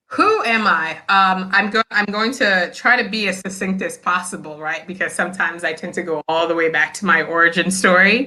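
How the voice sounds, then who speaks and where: There is noticeable background noise as a woman talks in an American accent at a medium pitch. She moves at a fairly quick pace with hardly any pauses. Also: ordinary pitch variation. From Nigeria, then southern Illinois and Atlanta, US. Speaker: school principal. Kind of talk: interview. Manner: animated.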